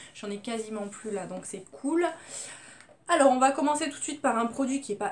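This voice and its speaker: Loud and high-pitched, a woman talks with ordinary pitch variation. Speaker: beauty vlogger. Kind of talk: casual product review.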